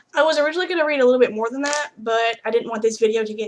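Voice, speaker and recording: A woman's fairly high voice with lively intonation, in a Southern US accent, at a very fast pace. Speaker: book blogger. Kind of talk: book review vlog with reading aloud.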